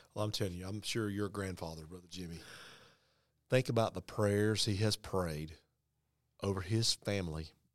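Speaking at a moderate pace with a fairly low pitch and fairly even intonation, a man swings widely in loudness in a very clean recording with a silent background. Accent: North Carolina. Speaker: pastor. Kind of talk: storytelling; casual chat. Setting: conference room.

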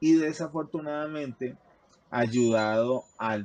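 A man talks at a very slow pace. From Colombia, Bogotá. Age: 40s. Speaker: hypertension patient sharing life story. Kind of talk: testimony.

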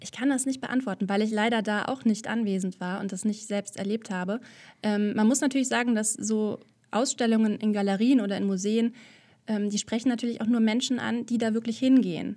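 A woman with a dark, mellow tone and a fairly high pitch sounds somewhat breathy, keeping fairly even intonation at a fairly quick pace. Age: 30s. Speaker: artist and podcaster. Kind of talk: casual interview. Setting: video call.

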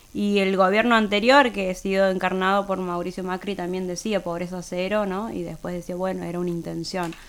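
A woman with a medium pitch talks at a fairly quick pace with monotone, flat intonation and hardly any pauses. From Santiago del Estero, Argentina. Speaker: politician. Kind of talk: radio interview. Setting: studio.

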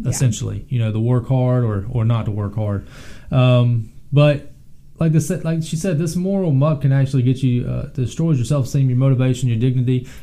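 A dark, mellow, somewhat breathy voice at a moderate pace with ordinary pitch variation. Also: man, medium pitch for a man. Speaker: podcast co-host. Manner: conversational, casual.

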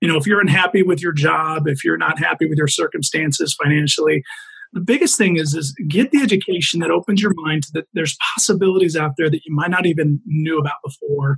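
In an American accent, a man talks at a very fast pace with ordinary pitch variation. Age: 40s. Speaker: franchise owner and real estate investor. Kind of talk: interview.

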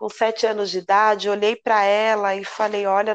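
A woman's medium-pitched voice at a moderate pace, dry and close with no echo. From São Paulo metro area (ABC region). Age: 30s. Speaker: samba school flag bearer. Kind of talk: interview.

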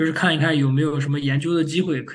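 A somewhat breathy man at a very fast pace, with monotone, flat intonation. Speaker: machine learning engineer, PhD graduate. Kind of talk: interview. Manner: halting.

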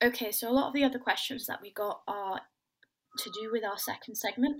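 This woman speaks at a fairly quick pace. Her voice is fairly high, with ordinary pitch variation. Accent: southern English. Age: young. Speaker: women's football podcast host. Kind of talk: casual chat.

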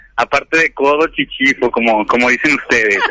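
A man talks at a very fast pace. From León, Guanajuato, central Mexico. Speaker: radio show caller. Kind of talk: casual chat.

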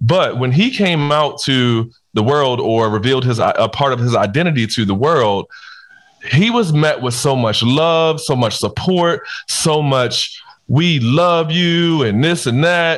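Using a normal speaking voice with an American accent, a man talks fairly slowly with lively intonation and very even loudness. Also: fairly high pitch for a man. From Baltimore, US. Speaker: podcast co-host. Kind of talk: casual chat.

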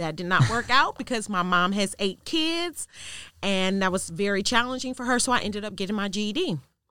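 A woman with an American accent speaks at a medium pitch, her tone bright and sharp, her intonation lively. The pace is fairly quick, in a very clean recording with a silent background. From US Midwest, south side of Chicago. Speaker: domestic violence advocate and student success manager. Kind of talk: interview testimony.

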